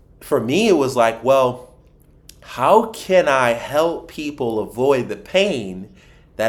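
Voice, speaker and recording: Speaking at a very slow pace in an American accent, a man uses lively intonation at a medium pitch. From Philadelphia, US. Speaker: financial advisor. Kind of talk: podcast interview. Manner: animated.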